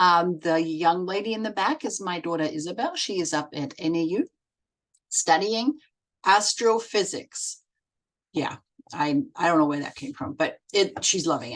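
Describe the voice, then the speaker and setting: A woman with a German accent speaks at a moderate pace. Her pitch is fairly low, and her intonation is lively. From Germany. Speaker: set designer and children's book illustrator. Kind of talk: recorded presentation. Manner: hesitant, many fillers.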